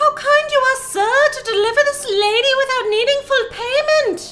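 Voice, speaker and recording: Over music in the background, a squeaky put-on character voice in an Irish accent speaks at an extremely high pitch and a moderate pace. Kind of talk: flattering, polite. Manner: loud, announcing to a crowd.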